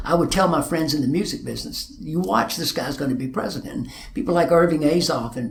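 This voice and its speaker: A man with an Arkansas accent speaks at a fairly quick pace with ordinary pitch variation, with noticeable background noise and audible room echo. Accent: Arkansas Southern. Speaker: music manager and concert promoter. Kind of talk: interview testimony. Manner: halting, repeats words.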